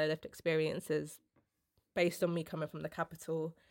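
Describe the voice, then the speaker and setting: A London accent on a very clean recording with a silent background. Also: woman. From London, England. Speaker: cultural producer. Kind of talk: casual interview.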